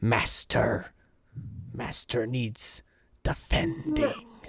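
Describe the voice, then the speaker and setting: In a put-on character voice, raspy and gravelly, the speaker drags along at a very slow pace. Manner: pleading.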